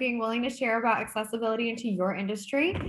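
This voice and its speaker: At a high pitch, a woman speaks at a fairly quick pace. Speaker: licensed counselor and channel host. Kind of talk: interview. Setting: video call. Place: home room. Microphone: video call.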